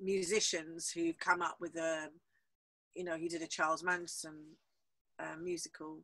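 Against a quiet background, a woman with a fairly low pitch speaks at a moderate pace in a bright, sharp tone. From London. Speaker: theatre boat owner and film producer. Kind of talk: interview. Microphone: video call.

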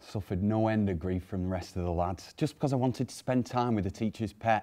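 A man speaks at a moderate pace with a fairly low pitch. His pitch varies in an ordinary way. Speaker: storyteller or actor in monologue. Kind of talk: dramatic monologue, personal story. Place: studio. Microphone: lapel.

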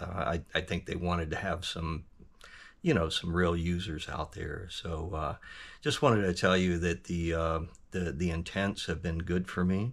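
A man with an American accent, very deep, low pitch, fairly even intonation and a moderate pace. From US South, Georgia. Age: 60s. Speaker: hearing aid user giving a review. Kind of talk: testimonial review. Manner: halting, many fillers. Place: workshop. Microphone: phone near.

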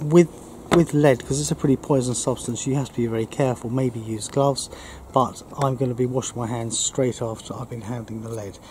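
Male speech at a fairly quick pace, fairly even in intonation, dry with no echo, amid noticeable background noise. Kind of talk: tutorial. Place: garden. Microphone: camera far.

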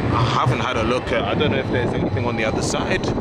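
Against loud background noise, a man speaks at a fairly quick pace, the sound dry with no echo. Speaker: travel vlogger. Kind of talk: casual vlog chat. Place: station. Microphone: phone near.

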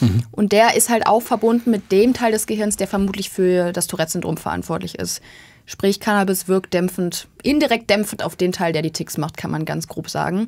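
Here a woman talks at a moderate pace. Her medium pitch has ordinary variation. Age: 20s. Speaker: medical student; guest. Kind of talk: interview. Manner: interrupted by vocal tics. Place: studio. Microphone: studio mic.

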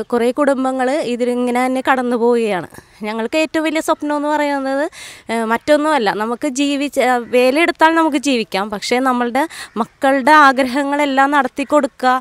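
A woman speaks in a high voice with fairly even intonation. The sound is dry, with no echo. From Kerala coast. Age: 30s. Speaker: resident, trained teacher; trained teacher. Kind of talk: interview. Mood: earnest, aggrieved plea. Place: street. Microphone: handheld.

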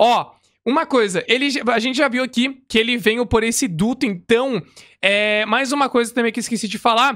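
Against a quiet background, a man with a Brazilian accent speaks at a moderate pace in an extremely high-pitched, bright and sharp voice with ordinary pitch variation. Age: 20s. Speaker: gaming youtuber; gaming reactor. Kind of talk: gameplay reaction commentary. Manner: casual, many filler words.

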